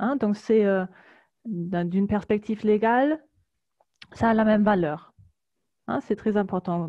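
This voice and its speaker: Her voice is medium in pitch for a woman, with a dark, mellow tone. She speaks at a very slow pace in a German accent. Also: quiet background. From Germany. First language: German (speaking French). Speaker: labour law advisor. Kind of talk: presentation. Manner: halting, many hesitations.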